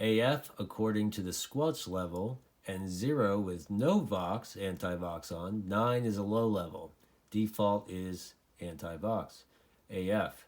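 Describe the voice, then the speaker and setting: A man's normal speaking voice with fairly low pitch, ordinary pitch variation and a fairly slow pace. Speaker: CB radio hobbyist reviewer. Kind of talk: tutorial. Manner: casual, filler-heavy.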